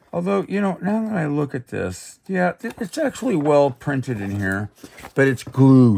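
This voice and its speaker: Loud and fairly high-pitched, a man speaks at a fairly slow pace with very wide pitch swings. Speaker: rare book dealer. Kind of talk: product showcase. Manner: halting.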